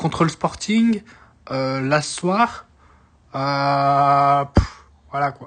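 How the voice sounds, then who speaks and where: The speech moves at a very slow pace. Long pauses come often. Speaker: football fan commentator. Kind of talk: casual match debrief. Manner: hesitant, many fillers and repetitions; animated, frustrated outbursts.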